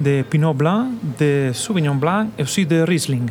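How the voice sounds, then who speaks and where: With noticeable background noise behind him, a man speaks at a very slow pace in a fairly high pitch. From northern Italy, Trentino. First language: Italian (speaking French). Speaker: winemaker. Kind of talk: radio interview. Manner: halting.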